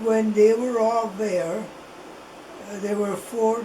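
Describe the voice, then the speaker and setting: A woman speaking at a very slow pace amid noticeable background noise. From Italy. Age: 80s+. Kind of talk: interview answer. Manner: slow, hesitant.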